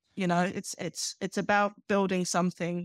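A woman talks in a British accent with monotone, flat intonation. The recording is very clean with a silent background and a dry, close sound with no echo. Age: 40s. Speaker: magazine founder, former hospitality worker. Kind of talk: interview.

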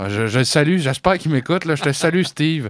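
A man in a Quebec accent talks at a moderate pace with ordinary pitch variation, the sound dry and close with no echo against a quiet background. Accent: Québécois French. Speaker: radio co-host. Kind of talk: casual chat. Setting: studio.

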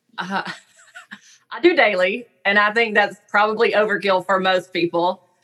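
With music playing in the background, a woman of medium pitch speaks at a moderate pace with a Southern US accent and fairly even intonation. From US South. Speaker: speech-language pathologist. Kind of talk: interview conversation.

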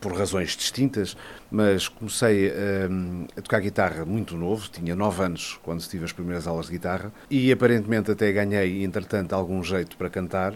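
A man talks at a moderate pace with a fairly low pitch. It is a normal speaking voice. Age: 50s. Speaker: journalist and musician. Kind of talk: interview.

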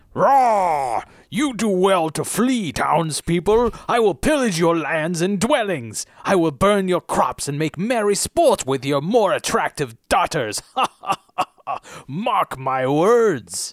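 At a fairly slow pace, a man does a put-on character voice pitched high. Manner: boastful, threatening.

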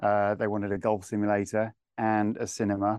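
Against a quiet background, a man speaks at a fairly slow pace, the sound dry and close with no echo. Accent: southern English. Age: 40s. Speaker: home technology integrator, company director. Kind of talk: casual interview.

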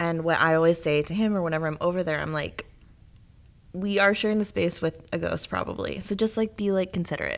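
Talking at a very fast pace, a woman with an American accent uses fairly even intonation at a fairly low pitch. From northern Illinois, US Midwest. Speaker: newspaper managing editor. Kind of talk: casual chat.

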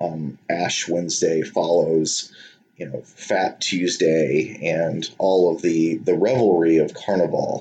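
This man's voice is very deep and low, with a dark, mellow tone. He speaks at a very slow pace. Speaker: English professor, co-host. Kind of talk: casual academic discussion. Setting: recording in flooded area. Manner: playful, halting, fillers.

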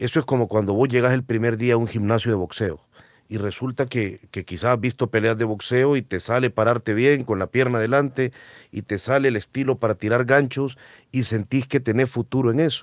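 On a very clean recording with a silent background and a dry, close sound with no echo, a man with a normal speaking voice talks at a fairly quick pace and a medium pitch with fairly even intonation. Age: 30s. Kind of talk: casual conversation.

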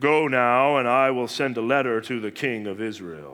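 A man puts on a character voice, pitched in the middle of his range and delivered at a moderate speed. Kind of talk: regal, commanding. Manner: pompous.

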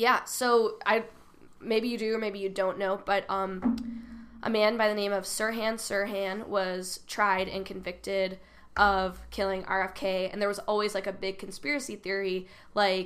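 An ordinary speaking voice at a fairly slow pace with fairly even intonation. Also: woman, medium pitch for a woman. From US Midwest, southwest suburbs of Chicago. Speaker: comedian. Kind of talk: casual chat.

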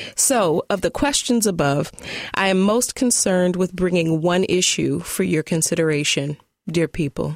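A woman's ordinary speaking voice, fairly low in pitch, with lively intonation, very even loudness, a moderate pace, and dry, close sound with no echo. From US Midwest (Detroit, Michigan; born in Tulsa, Oklahoma). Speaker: poet and writer. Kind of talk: interview; reading aloud her own writing.

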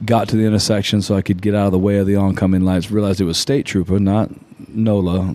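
A man with an American accent talks at a very fast pace and fairly low pitch, with monotone, flat intonation and very even loudness. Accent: south Louisiana Cajun-tinged Southern US. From southwest Louisiana, Lafayette. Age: 40s. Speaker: musician. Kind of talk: casual chat. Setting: studio.

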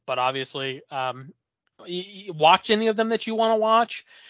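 A man speaks in a plain, everyday voice at a moderate pace. His intonation is lively. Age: 20s. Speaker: horror podcast co-host. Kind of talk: casual chat.

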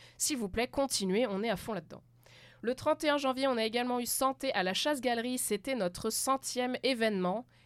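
On a very clean recording with a silent background, a woman talks at a moderate pace in a normal speaking voice with ordinary pitch variation. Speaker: podcast host. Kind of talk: scripted show host intro. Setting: studio.

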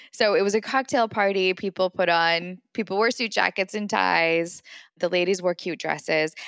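In a dry, close sound with no echo, a woman has a normal speaking voice at medium pitch. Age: 40s. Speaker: podcast co-host, startup founder. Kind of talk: casual chat.

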